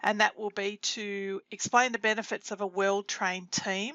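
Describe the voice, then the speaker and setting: A woman with an Australian accent speaks at a moderate pace, her medium pitch held in fairly even intonation. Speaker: food safety trainer. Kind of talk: webinar presentation. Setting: online webinar.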